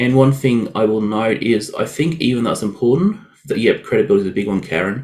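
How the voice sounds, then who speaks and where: A man with an Australian accent speaks at a medium pitch with ordinary pitch variation. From Australia (Queensland). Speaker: WordPress web developer. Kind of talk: webinar presentation. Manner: fast when excited; casual, filler-heavy.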